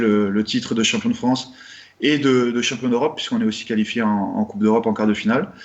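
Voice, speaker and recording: Flat and monotone, this man speaks at a medium pitch. His pace is fairly quick. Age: 30s. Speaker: rugby player, team captain. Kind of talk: interview. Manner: hesitant, many fillers.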